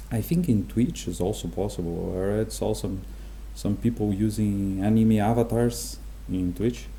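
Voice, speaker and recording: A man with a Portuguese accent at a fairly slow pace, amid audible room echo. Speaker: game development tutorial creator. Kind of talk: tutorial. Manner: halting, many fillers.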